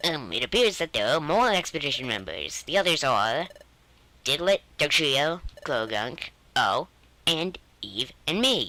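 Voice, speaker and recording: Someone speaks in a put-on character voice at a middle pitch and a moderate pace. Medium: solo performance. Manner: formal, officious.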